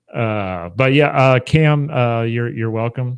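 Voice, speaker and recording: With an American accent, a man speaks at a medium pitch with ordinary pitch variation in a dry, close sound with no echo. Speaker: history YouTuber and university educator. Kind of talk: casual chat. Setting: livestream on Facebook and YouTube.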